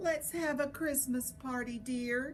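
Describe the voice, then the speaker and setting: Amid clear background noise, a woman uses a put-on character voice, high in pitch, at a fairly slow pace. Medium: read story.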